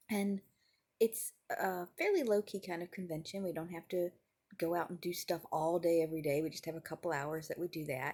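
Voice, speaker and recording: A soft-spoken woman's fairly low voice with a dark, mellow tone. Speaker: acupuncturist and wellness vlogger. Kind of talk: casual mindfulness talk. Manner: quiet, soft-spoken.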